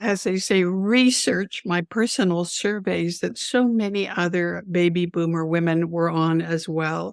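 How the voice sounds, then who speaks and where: Speaking with a Canadian accent, a woman has a plain, everyday voice with a fairly low pitch and ordinary pitch variation. She goes at a fairly slow pace with hardly any pauses and very even loudness. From Canada. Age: 60s. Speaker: business strategist and author. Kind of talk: interview chat.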